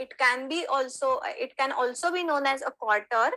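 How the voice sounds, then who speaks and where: With a raised, projected voice, a woman speaks at a moderate pace in a high pitch, her tone bright and sharp and her pitch variation ordinary. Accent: Marathi. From Maharashtra, India. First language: Marathi. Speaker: Sanskrit teacher. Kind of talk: online lecture.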